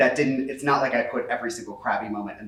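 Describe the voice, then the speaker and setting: The speaker is a man. His voice carries audible room echo along with noticeable background noise. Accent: American. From US Midwest, Cincinnati. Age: 30s. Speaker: author. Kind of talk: book talk conversation. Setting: in-person event with audience. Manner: fast.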